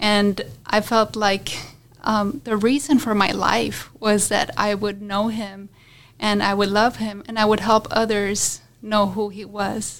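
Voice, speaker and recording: A woman's medium-pitched voice at a fairly slow pace, in monotone, flat intonation. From Colombia. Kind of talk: testimony.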